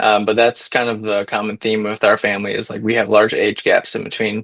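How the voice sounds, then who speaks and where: A man with an American accent and fairly low pitch talks at a fairly quick pace in monotone, flat intonation, with a dry, close sound and no echo. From Michigan. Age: 20s. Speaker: podcast co-host. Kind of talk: casual chat. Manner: hesitant with many fillers.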